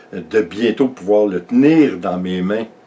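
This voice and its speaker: A man speaks with a Quebec accent. Noticeable background noise can be heard. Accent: Québécois French. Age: 60s. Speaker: vlogger. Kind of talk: casual vlog talk. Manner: halting, many fillers.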